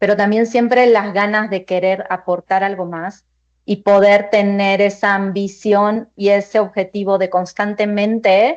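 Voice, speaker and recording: A woman speaks at a medium pitch. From Argentina. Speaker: finance executive. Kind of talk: panel discussion.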